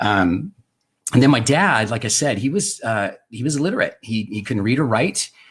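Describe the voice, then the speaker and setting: The recording is very clean, with a silent background. A man with an American accent uses an ordinary speaking voice at a moderate pace, with ordinary pitch variation. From Southern California, US. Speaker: wine and drinks video host. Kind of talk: casual personal storytelling livestream. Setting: home studio. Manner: casual, many fillers.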